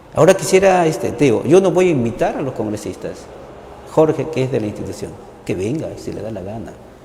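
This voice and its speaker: A man talks at a very fast pace and fairly high pitch, with very wide pitch swings and big swings in loudness. Noticeable background noise and audible room echo surround him. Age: 60s. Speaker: journalist and university teacher. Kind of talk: TV interview conversation. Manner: animated.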